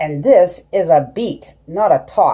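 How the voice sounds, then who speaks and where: A woman performs a put-on character voice. She speaks at a fairly slow pace. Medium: read story.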